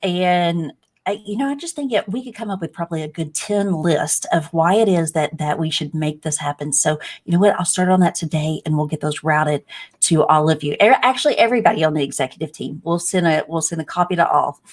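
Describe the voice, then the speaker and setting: A woman speaks in a Texan accent at a fairly low pitch. Her pace is fairly quick. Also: ordinary pitch variation. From Texas. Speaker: nurse and webinar host. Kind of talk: casual interview chat.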